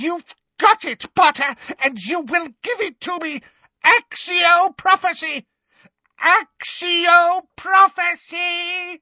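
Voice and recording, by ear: A man shouts in a put-on character voice, shrill and extremely high-pitched, with a bright, sharp tone and ordinary pitch variation. He goes at a slow pace, and the sound is dry and close with no echo.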